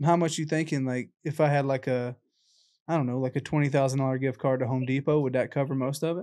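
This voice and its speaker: In an American accent, a man talks at a very fast pace with a fairly high pitch, a dark, mellow tone and monotone, flat intonation against a quiet background. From South Carolina (Lexington); South Carolina. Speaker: real estate investor. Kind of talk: sales call. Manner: casual, filler-heavy. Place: home room. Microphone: studio mic.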